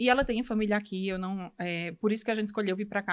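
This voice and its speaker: In a Ceará accent, a woman speaks at a fairly quick pace with a medium pitch and fairly even intonation on a very clean recording with a silent background. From Brazil, Ceará. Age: 30s. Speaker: medical student. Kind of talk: podcast interview, personal story.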